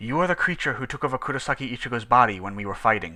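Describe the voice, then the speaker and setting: At a very fast pace, a man uses a put-on character voice at a medium pitch. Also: very clean recording, silent background. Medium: read story. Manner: formal, cold.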